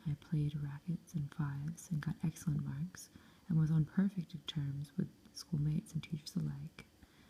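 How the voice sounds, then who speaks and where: A soft-spoken woman with a very deep, low pitch and a dark, mellow tone, calm and somewhat breathy, at a moderate pace with fairly even intonation. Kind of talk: soft-spoken audiobook-style reading of a novel, ASMR. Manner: soft-spoken, calm.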